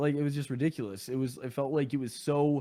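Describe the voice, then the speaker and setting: The speaker is a man. His recording is very clean and the background silent. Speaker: gaming content creator. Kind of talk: casual chat. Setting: podcast. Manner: loud.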